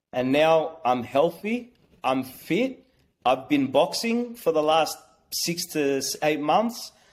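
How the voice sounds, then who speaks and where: A man's fairly high voice with an Australian accent, very slow pace and lively intonation. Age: 30s. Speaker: small business owner. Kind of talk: personal testimony. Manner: halting.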